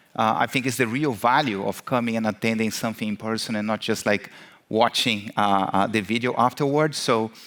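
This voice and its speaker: A man talks at a fairly quick pace with a Brazilian accent. His intonation stays fairly even. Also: medium pitch for a man. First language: Portuguese. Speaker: marketing executive, keynote speaker. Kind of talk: conference keynote. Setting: stage with audience. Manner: many fillers (uh, um).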